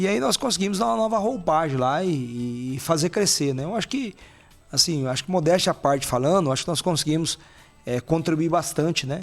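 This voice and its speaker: Music plays in the background. A man talks fairly quickly at a fairly high pitch. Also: lively intonation. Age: 40s. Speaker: mayor and former rodeo association president. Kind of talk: podcast interview. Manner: conversational, frequent hesitations.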